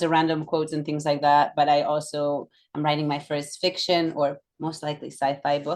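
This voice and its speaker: A woman is speaking. She has a Catalan accent. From Catalonia, Barcelona. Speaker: yoga instructor and former professional figure skater. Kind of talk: casual interview chat.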